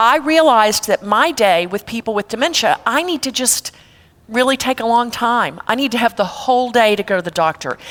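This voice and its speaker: Lively in intonation, a woman with an ordinary speaking voice and an American accent speaks at a fairly high pitch and moderate pace. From Texas. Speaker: elder care consultant. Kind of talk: seminar talk. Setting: church seminar with audience. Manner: conversational.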